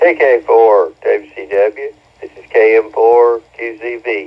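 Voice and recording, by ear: A man speaks at a fairly slow pace with a fairly low pitch. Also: ordinary pitch variation.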